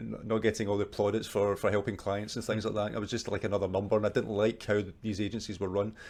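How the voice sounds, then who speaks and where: A man talks with a Scottish accent. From Scotland, Glasgow. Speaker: marketing agency owner. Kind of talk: interview.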